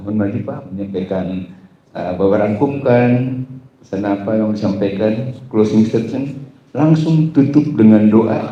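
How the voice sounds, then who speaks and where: Audible room echo surrounds a man who talks at a fairly slow pace in a fairly low pitch, using ordinary pitch variation. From Batak, North Sumatra. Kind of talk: event hosting.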